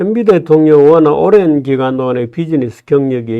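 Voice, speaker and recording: A man talks fairly slowly in a fairly high-pitched voice. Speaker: political commentator. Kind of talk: casual chat.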